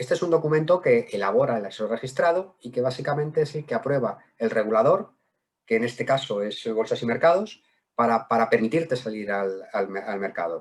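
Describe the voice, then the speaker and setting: A man speaks at medium pitch with lively intonation. His pace is fairly quick. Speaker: wealth management director. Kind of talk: webinar presentation. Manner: fast; halting, repeats words.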